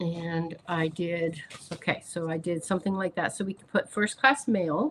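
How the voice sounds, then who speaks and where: A woman speaks fairly slowly at medium pitch, her voice somewhat breathy. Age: 60s. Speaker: crafting YouTuber. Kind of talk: live stream craft demonstration. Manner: casual and chatty.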